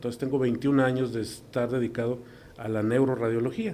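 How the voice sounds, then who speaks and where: A man's voice carries audible room echo. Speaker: neuroradiologist. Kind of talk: interview. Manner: halting.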